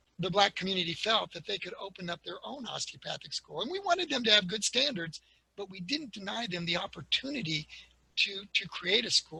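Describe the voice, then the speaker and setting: A man with a high pitch uses a raised, projected voice at a moderate pace. His tone is bright and sharp, his intonation lively, and the sound is dry and close with no echo. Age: 60s. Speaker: osteopathic medicine historian. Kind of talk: webinar lecture. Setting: online webinar.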